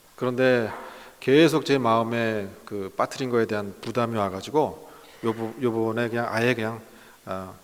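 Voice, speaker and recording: A man talks at a medium pitch, and audible room echo hangs around his voice. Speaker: pastor, guest lecturer. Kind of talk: lecture. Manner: slow, deliberate; hesitant, many fillers.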